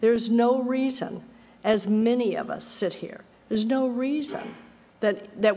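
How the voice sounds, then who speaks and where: Her voice sits at a fairly high pitch for a woman. She speaks at a moderate pace. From Texas. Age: 70s. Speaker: AA speaker. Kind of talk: testimony. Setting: stage with audience. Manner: animated.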